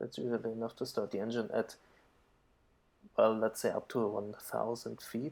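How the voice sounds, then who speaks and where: The speech is mumbled. Its intonation stays flat and monotone. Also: man. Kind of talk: flight sim tutorial commentary. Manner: mumbling.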